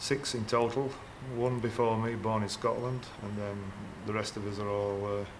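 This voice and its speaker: A man's monotone, flat delivery in a Yorkshire accent, with audible room echo. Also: medium pitch for a man, moderate pace. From Yorkshire, Castleford. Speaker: former coal miner, electrician. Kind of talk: casual interview.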